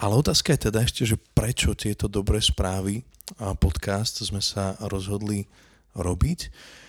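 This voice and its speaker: A man with a fairly low voice and ordinary pitch variation talks at a moderate pace, in a plain, everyday voice. The recording is very clean, with a silent background and a dry, close sound with no echo. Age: 30s. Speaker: podcast host. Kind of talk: casual chat. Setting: home kitchen.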